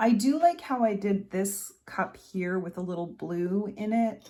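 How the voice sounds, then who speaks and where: A woman's somewhat breathy voice, medium in pitch with a dark, mellow tone and ordinary pitch variation, on a very clean recording with a silent background. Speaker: art tutorial creator. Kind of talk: tutorial. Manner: casual, thinking aloud.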